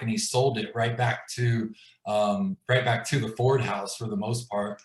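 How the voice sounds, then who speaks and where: His voice sits at a medium pitch for a man. He speaks at a moderate pace and sounds somewhat breathy. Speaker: glass business owner telling his story. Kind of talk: personal story in a live video chat. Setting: video call livestream. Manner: casual, filler-heavy.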